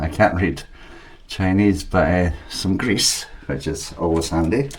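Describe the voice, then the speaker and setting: A man with a Scottish accent talks at a very slow pace in a very deep, low voice. Audible room echo and noticeable background noise surround him. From Scotland. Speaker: 3D printing hobbyist youtuber. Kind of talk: unboxing tutorial. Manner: casual.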